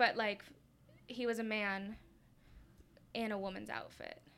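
This woman speaks with a Californian accent at a fairly high pitch. Her tone is bright and sharp. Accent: Californian American. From Southern California (Lancaster). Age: 20s. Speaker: small business owner. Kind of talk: casual interview chat.

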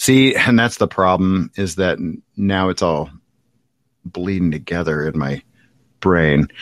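A man speaks at a fairly slow pace with a very deep, low pitch, ordinary pitch variation, and long, frequent pauses, recorded with a dry, close sound and no echo. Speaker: podcast co-host. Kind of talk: casual banter, movie talk.

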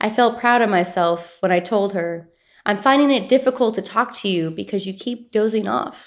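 A woman with an ordinary speaking voice talks at a moderate pace and medium pitch, using ordinary pitch variation, on a very clean recording with a silent background. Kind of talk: poetry reading.

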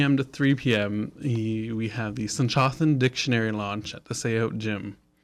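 A man at medium pitch in an ordinary speaking voice, fairly slow and fairly even in intonation, on a very clean recording with a silent background. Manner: slightly flustered and giggly, laughs at own slips while reading announcements.

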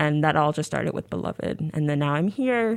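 This woman speaks at a very fast pace in a very deep, low pitch. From US, moved around (military family; born New Orleans). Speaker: graduate student in literature. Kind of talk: casual interview. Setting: radio studio.

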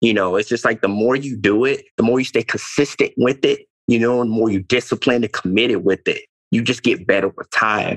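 A man talks at a fairly quick pace in an unremarkable speaking voice, medium in pitch, with fairly even intonation. The sound is dry and close with no echo, and there are hardly any pauses. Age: 20s. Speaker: motivational speaker and former athlete. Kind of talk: casual chat.

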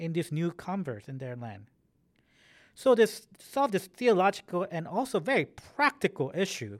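A man at a high pitch and a moderate pace, with very wide pitch swings and big swings in loudness, on a very clean recording with a silent background. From Korean-American community, US. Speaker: church history professor. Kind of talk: interview.

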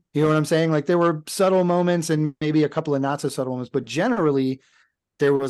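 A man's very fast speech in an American accent, fairly high in pitch with ordinary pitch variation, over a quiet background. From US South. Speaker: podcast co-host discussing films. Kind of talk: casual chat.

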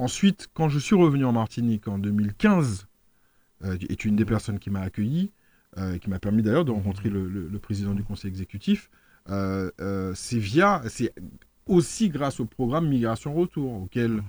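A man's moderate-paced speech at medium pitch with lively intonation, dry and close with no echo, in a very clean recording with a silent background. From France. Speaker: local politician. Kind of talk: radio interview. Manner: halting, many fillers and repetitions.

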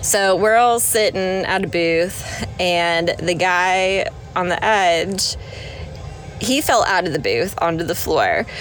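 A woman's very slow, medium-pitched voice with ordinary pitch variation and very even loudness, music in the background. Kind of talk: casual chat.

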